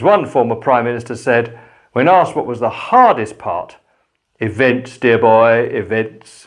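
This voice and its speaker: A man speaks with an English accent at a fairly slow pace. His pitch is medium, with ordinary pitch variation. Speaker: pastor. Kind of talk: spoken reflection. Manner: calm.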